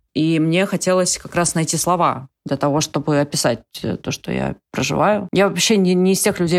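This woman has an ordinary speaking voice with a fairly low pitch. She keeps a moderate pace and ordinary pitch variation. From Siberia, Russia (Ust-Ilimsk). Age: 30s. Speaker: writer. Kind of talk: casual chat.

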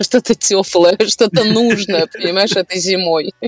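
In an ordinary speaking voice, a woman talks at a fairly slow pace and a medium pitch with ordinary pitch variation, the sound dry and close with no echo. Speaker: tour guide. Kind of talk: casual chat.

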